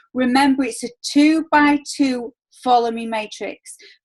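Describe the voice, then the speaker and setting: A woman with a Yorkshire accent, heard in a dry, close recording with no echo. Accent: broad Yorkshire. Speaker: network marketing team leader. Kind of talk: video call team meeting. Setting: video call.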